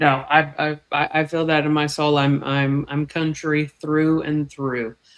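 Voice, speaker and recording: A woman with an American accent speaks at a very slow pace in a very deep, low pitch. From Texas, small town near Fort Worth. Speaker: snake keeper. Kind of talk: casual chat.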